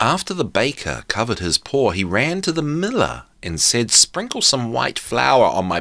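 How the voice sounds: Reading voice, natural in tone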